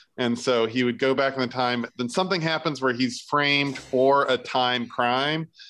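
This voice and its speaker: The man has a medium pitch and a bright, sharp tone. His intonation is fairly even, at a moderate pace. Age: 40s. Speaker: podcast co-host. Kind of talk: casual chat.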